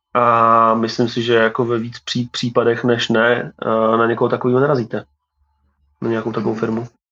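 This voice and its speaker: Bright and sharp in tone, a man talks at a fairly quick pace and medium pitch. His intonation is monotone and flat. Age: 30s. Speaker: tech company co-founder. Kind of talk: interview. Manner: halting, many fillers.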